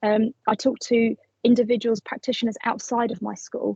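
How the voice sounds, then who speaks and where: Fairly quick and somewhat breathy, a woman speaks at a fairly high pitch. The sound is dry and close, with no echo. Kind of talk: professional development presentation. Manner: fast.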